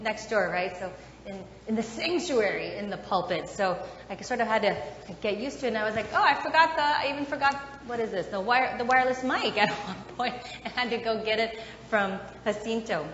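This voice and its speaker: Room echo is audible and light background noise sits behind delivery that runs at a fairly quick pace. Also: woman. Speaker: pastor. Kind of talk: sermon. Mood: warm, playful. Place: church. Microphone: lapel.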